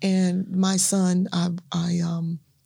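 Speaking in a Southern US accent, a woman has a fairly low pitch and a somewhat breathy voice. Her tone is dark and mellow. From US South, Natchez, Mississippi. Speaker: minister and evangelist. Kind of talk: testimony.

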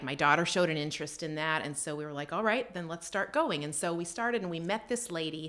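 This is a plain, everyday voice, a woman's, fairly low in pitch. She goes at a fairly quick pace with lively intonation. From Canada. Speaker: photographer and aspiring author. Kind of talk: interview.

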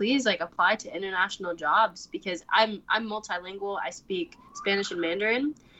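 A woman with an ordinary speaking voice talks at a medium pitch and a moderate pace. Her intonation is lively. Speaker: recent college graduate. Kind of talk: interview.

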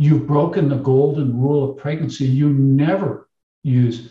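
A man with an American accent, fairly high-pitched and somewhat breathy, at a moderate pace. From United States. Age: 60s. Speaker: obstetrician. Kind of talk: interview. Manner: animated.

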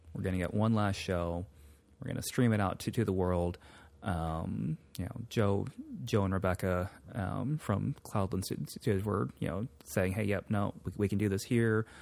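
In an unremarkable speaking voice, a man with an American accent talks at a moderate pace with ordinary pitch variation. His pitch is fairly low, and the recording is very clean with a silent background. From California, Sacramento. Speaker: rock drummer and podcaster. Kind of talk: casual chat.

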